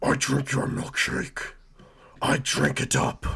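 Using a raspy, put-on character voice, a man speaks at a medium pitch and fairly slow pace. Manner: putting on a little voice.

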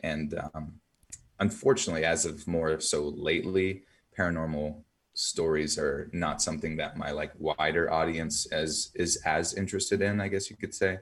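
A man with a very deep, low voice speaks at a moderate pace with fairly even intonation. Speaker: storyteller podcaster. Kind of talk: interview, storytelling.

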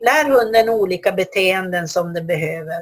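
Her voice is fairly low and somewhat breathy, with ordinary pitch variation. The woman speaks at a fairly slow pace. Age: 60s. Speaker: dog trainer and institute head. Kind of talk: solo podcast talk. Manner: hesitant.

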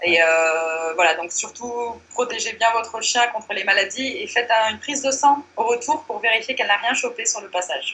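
Talking fairly quickly in an unremarkable speaking voice, a woman keeps a fairly high pitch with ordinary variation. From Morocco. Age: 30s. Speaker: blogger. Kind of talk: interview.

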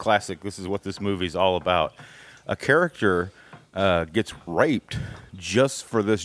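The voice is plain reading aloud with ordinary pitch variation.

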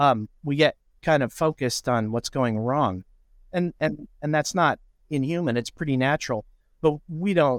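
A man with a Midwestern US accent speaks at a moderate pace with lively intonation. The recording is very clean, dry and close, with a silent background and no echo. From Indiana, lives in Iowa. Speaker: writing professor and musician. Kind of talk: interview, casual conversation.

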